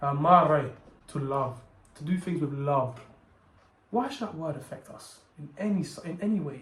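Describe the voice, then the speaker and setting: Speech comes at a moderate pace with long, frequent pauses, big swings in loudness, ordinary pitch variation and audible room echo. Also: man, fairly high pitch for a man. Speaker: video essayist / content creator. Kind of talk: scripted monologue to camera. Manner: halting, stuttering.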